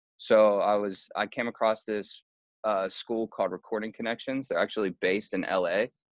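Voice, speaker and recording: Moderate-paced speech from a man with an American accent, dry, close sound with no echo, quiet background. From western Pennsylvania, Pittsburgh area. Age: 20s. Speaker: music industry manager. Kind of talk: casual interview. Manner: casual, filler-heavy.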